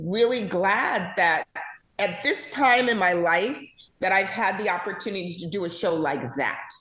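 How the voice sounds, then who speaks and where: There's audible room echo as a woman speaks at a medium pitch in an animated tone, with lively intonation. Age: 60s. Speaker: casting director. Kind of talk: interview.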